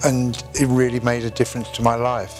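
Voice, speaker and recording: Over music in the background, a man in a South Welsh accent talks at a moderate pace and medium pitch with fairly even intonation. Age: 70s. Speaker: stroke survivor. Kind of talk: interview answer.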